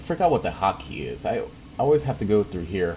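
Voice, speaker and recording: A man talks over noticeable background noise. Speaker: gaming livestreamer. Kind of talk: live gameplay stream commentary. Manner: loud; casual, filler-heavy.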